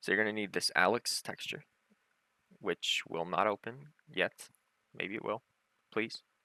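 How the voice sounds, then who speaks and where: A man with a fairly low pitch and a bright, sharp tone speaks at a moderate pace with fairly even intonation, in a dry, close sound with no echo. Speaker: gaming tutorial youtuber. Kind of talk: tutorial. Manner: loud; casual, filler-heavy.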